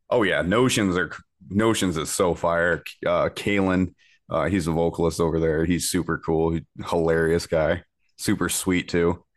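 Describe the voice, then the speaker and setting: A man speaks in a very deep, low voice with an American accent, at a moderate pace and with fairly even intonation. His loudness stays very even against a quiet background. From Michigan, US Midwest. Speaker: musician, vocalist. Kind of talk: casual chat.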